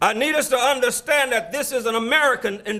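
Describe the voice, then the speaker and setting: With a raised, projected voice, a man at an extremely high pitch keeps a moderate pace and ordinary pitch variation. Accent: Alabama. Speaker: keynote speaker. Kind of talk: speech. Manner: preacherly, call-and-response.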